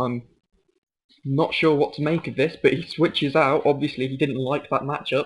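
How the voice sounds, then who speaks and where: A man speaks at a moderate pace. His voice is fairly high in pitch and somewhat breathy. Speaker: competitive video game player. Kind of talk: gameplay commentary. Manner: hesitant, many filler sounds.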